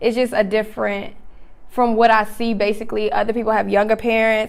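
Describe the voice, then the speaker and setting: This is a woman speaking with an American accent. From North Carolina, Charlotte. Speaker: singer. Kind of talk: interview.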